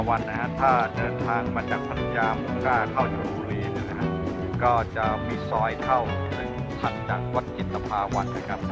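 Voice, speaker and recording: Over loud music in the background, a man speaks with ordinary pitch variation. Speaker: travel vlogger. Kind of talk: casual vlog chat. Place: waterside. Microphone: phone near.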